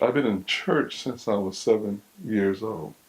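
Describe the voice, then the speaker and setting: Speaking fairly slowly with fairly even intonation, a man uses a normal speaking voice pitched fairly low. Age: 60s. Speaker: pastor. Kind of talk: sermon.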